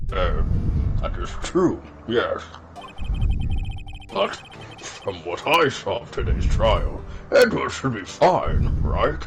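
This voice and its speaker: A man's put-on character voice at a very slow pace, full of long, frequent pauses, over clear background noise. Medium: game stream. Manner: rambling, nostalgic.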